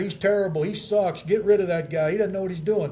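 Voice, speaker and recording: Audible room echo surrounds a man with an American accent using ordinary pitch variation. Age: 60s. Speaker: radio sports talk host. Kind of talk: casual chat. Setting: hotel.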